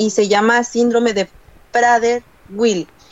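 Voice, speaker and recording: Very slow speech from a woman with a fairly high pitch. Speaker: podcast guest. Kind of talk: casual chat. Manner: animated. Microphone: choppy audio, too far from mic.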